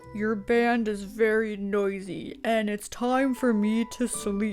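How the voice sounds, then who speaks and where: Over clear music in the background, a woman uses a put-on character voice, fairly high in pitch, at a fairly slow pace. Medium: read story. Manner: gentle and good-humored.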